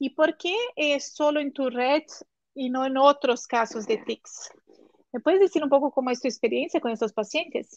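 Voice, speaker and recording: A woman with a Portuguese accent speaks at a moderate pace and high pitch with ordinary pitch variation, recorded dry and close with no echo. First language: Portuguese (speaking Spanish). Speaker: neurologist hosting a live online course session. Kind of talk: live-streamed interview. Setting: live stream on Instagram and YouTube.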